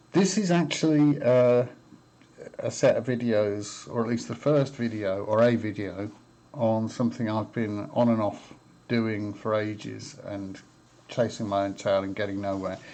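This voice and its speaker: This man has an ordinary speaking voice, pitched in the medium range and delivered at a fairly slow pace. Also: ordinary pitch variation. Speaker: electronics hobbyist. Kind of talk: casual tutorial talk to camera. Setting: webcam microphone.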